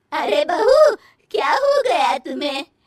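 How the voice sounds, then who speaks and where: A woman's squeaky, cartoonish character voice, high in pitch with very wide pitch swings, in a dry, close sound with no echo. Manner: authoritative.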